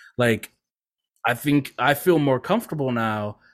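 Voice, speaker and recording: A man's ordinary speaking voice with an American accent and ordinary pitch variation, on a very clean recording with a silent background. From Louisiana, US South. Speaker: content creator. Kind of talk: casual chat.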